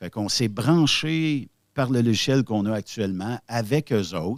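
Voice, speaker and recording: Lively intonation and big swings in loudness mark this man's medium-pitched voice with a Quebec accent. The recording is very clean, with a silent background. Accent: Québécois French. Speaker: web radio founder. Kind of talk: podcast interview. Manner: hesitant, many fillers.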